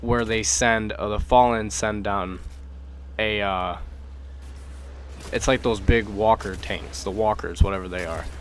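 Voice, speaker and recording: At a fairly slow pace with long, frequent pauses, a man speaks at a fairly low pitch with lively intonation and vocal fry. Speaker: gaming YouTuber. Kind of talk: gaming tutorial. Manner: halting, stuttering; casual, filler-heavy.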